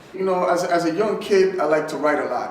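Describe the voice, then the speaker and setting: Over noticeable background noise, a man talks very fast in a high pitch with ordinary pitch variation. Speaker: spoken word poet. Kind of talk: interview answer.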